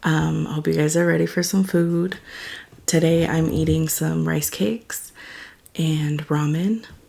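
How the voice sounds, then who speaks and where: A soft-spoken woman talks at a fairly slow pace. Noticeable background noise is present. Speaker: mukbang YouTuber. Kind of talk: casual eating vlog. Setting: at home, late night. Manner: quiet, soft-spoken.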